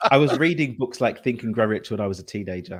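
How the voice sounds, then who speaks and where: In an East London accent, a man talks at a very fast pace with lively intonation. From England, East London. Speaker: entrepreneur and coach. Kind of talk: interview.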